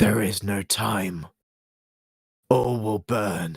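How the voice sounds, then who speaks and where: A man puts on a raspy character voice at a fairly low pitch. The sound is dry and close, with no echo. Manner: ominous, otherworldly.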